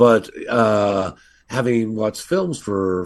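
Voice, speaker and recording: A man with a fairly low pitch talks at a very slow pace. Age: 60s. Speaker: film director. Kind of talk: interview. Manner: halting, many fillers.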